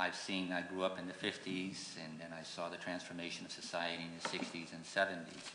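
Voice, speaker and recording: Over noticeable background noise and audible room echo, a man with a very deep, low pitch speaks in a flat monotone. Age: 60s. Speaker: judicial candidate, lawyer. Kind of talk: candidate forum closing statement. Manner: halting, repeats words.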